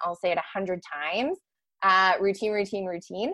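Against a quiet background, a woman uses an ordinary speaking voice at a medium pitch and a moderate pace. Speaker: mental health professional. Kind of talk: interview.

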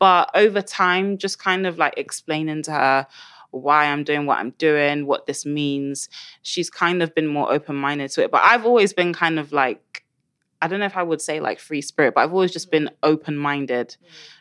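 On a very clean recording with a silent background, a woman with a very deep, low pitch talks at a moderate pace with ordinary pitch variation. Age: 20s. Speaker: activist and sociology student. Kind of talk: casual chat.

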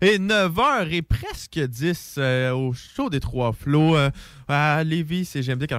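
A man speaks very slowly at a fairly high pitch, with ordinary pitch variation. The recording is very clean, with a silent background. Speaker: radio co-host. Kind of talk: casual chat.

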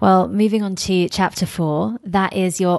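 A woman with a British accent speaks at a fairly low pitch with ordinary pitch variation. Her pace is fairly slow, and the background is quiet. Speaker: podcast host and travel journalist. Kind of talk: scripted intro then interview. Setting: in-person interview in a hotel suite.

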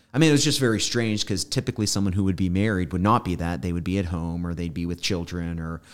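In an American accent, a man with a very deep, low pitch and ordinary pitch variation speaks at a very fast pace, recorded very cleanly over a silent background. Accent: slight Southern, stronger when tired. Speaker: pastor. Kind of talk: casual Bible study chat.

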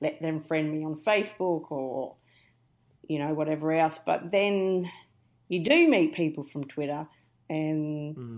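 A woman's fairly low voice with a strong Australian accent, fairly slow in pace, with ordinary pitch variation. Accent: broad Australian. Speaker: podcast guest. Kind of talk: casual chat.

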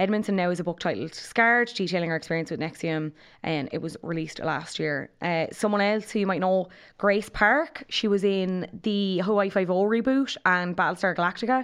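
With an Irish accent, a woman speaks at a fairly quick pace and medium pitch, using ordinary pitch variation. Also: quiet background. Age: 20s. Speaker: podcast co-host. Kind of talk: casual chat.

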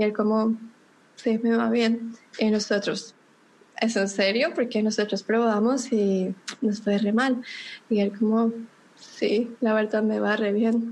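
A woman with a Bogotá accent speaks at a very slow pace with long, frequent pauses and a fairly high, somewhat breathy voice. Her intonation is monotone and flat, and her loudness is very even. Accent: Bogotá Colombian. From Colombia, Bogotá. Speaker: digital marketing consultant. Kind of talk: podcast interview.

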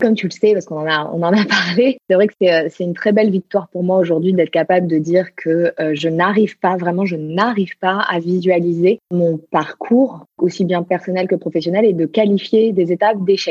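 A woman's medium-pitched voice at a moderate pace. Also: fairly even intonation. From Marseille, southern France. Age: 30s. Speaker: human design coach. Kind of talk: interview conversation. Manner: hesitant, repeats words.

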